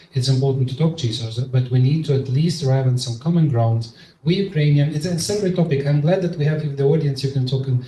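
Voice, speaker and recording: A fairly high, somewhat breathy male voice with a dark, mellow tone, ordinary pitch variation, a very fast pace and audible room echo. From eastern Ukraine, Donetsk. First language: Russian. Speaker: Ukrainian policy expert. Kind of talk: panel discussion. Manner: emotional; halting.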